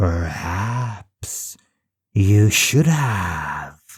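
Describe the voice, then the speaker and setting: Fairly low pitch in a put-on character voice from a man. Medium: read story. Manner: measured, emotionless.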